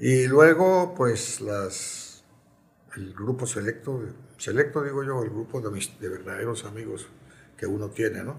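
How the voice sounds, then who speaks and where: The man's voice is somewhat breathy, at a medium pitch. He speaks at a fairly slow pace with lively intonation. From Colombia. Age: 80s+. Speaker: former football club president. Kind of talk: interview. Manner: halting.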